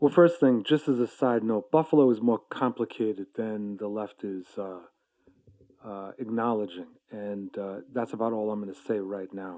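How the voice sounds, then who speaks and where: A man with an American accent and an unremarkable speaking voice, fairly low in pitch with ordinary variation and big swings in loudness, over a quiet background. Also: moderate pace. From New York. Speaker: labor activist and co-host. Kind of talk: casual interview.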